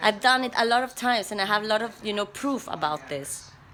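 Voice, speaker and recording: A woman's bright, sharp tone sits at a medium pitch with ordinary pitch variation. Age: 30s. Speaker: vlogger. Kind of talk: personal vlog monologue. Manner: halting, with frequent repetitions.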